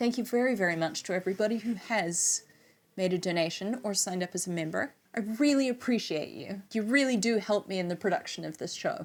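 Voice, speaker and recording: A woman with an American accent at a fairly quick pace, with ordinary pitch variation. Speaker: music YouTuber reviewing records. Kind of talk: casual vlog outro and bloopers.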